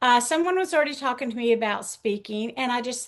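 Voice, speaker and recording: With a Southern US accent, a woman speaks in a high pitch and a bright, sharp tone, her intonation lively against a quiet background. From US South. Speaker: author and pastor's wife. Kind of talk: interview testimony.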